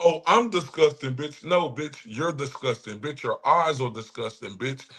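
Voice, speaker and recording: The speaker is a man with a fairly high pitch. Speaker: streamer reacting live. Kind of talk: insulting live reaction. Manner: aggressive.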